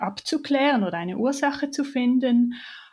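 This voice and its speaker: A woman speaks at a very slow pace, somewhat breathy. The very clean recording has a silent background. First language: Swiss German (speaking German). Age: 30s. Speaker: chronic pain patient sharing her story. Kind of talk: personal testimony in interview.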